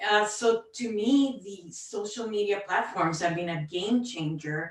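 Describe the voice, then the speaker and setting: A woman with a Cuban accent speaks at a fairly slow pace, her loudness swinging widely. Her pitch sits in the middle range, with ordinary variation. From Puerto Rico, Cuban family. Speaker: oversight board member. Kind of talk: panel discussion.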